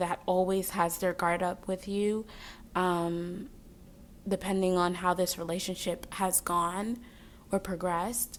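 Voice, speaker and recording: A monotone, flat delivery in a very clean recording with a silent background. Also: woman. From Jamaica. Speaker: tarot reader. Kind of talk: tarot reading. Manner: casual, filler-heavy.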